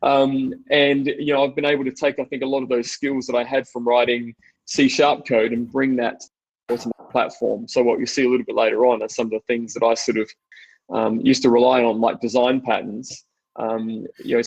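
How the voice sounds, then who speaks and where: A man with an Australian accent, medium in pitch, flat and monotone, at a fairly quick pace over a quiet background. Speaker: technology executive and presenter; presenter. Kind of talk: technical webinar presentation. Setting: online webinar. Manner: fast; hesitant, many fillers. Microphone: video call.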